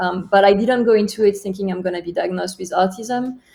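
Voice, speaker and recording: A woman's medium-pitched voice with a French accent, dark and mellow in tone, flat and monotone in intonation. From France. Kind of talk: interview.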